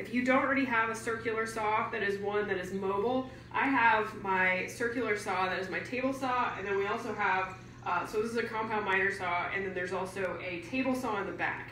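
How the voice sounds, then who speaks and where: A woman talks at a fairly quick pace with hardly any pauses, her fairly high voice held to fairly even intonation. Audible room echo and light background noise are present. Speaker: DIY builder; workshop instructor. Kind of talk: tutorial. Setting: outdoors. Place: garage. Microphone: camera far.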